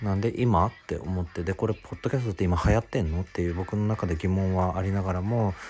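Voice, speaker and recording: His voice is very deep and low, somewhat breathy, and very fast with hardly any pauses. The recording is very clean, with a silent background. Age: 20s. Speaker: podcast host, office worker. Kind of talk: casual solo monologue. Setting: home. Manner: animated.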